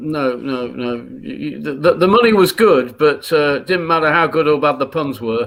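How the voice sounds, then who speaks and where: Noticeable background noise sits behind a man with a Yorkshire accent. His fairly high voice shows ordinary pitch variation at a moderate pace. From northern England, Leeds. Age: 60s. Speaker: comedian. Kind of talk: casual chat. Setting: live stream.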